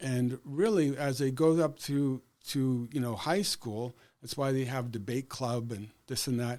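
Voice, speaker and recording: A man with a Canadian accent has a plain, everyday voice at medium pitch with ordinary pitch variation. He speaks at a fairly slow pace on a very clean recording with a silent background. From Canadian Prairies, Saskatchewan. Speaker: educator and school board candidate. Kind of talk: podcast interview.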